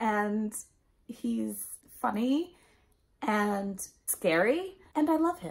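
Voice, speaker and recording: Against a quiet background, a woman talks at a fairly high pitch with lively intonation. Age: 30s. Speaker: book youtuber. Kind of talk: casual vlog monologue. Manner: animated. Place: home room.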